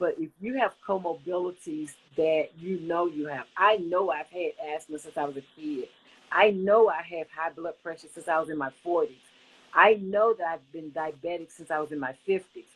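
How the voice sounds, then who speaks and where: With a normal speaking voice, a woman talks at a fairly low pitch, her pitch variation ordinary and her loudness swinging widely. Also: moderate pace. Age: 60s. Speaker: covid survivor sharing her story. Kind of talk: interview testimony.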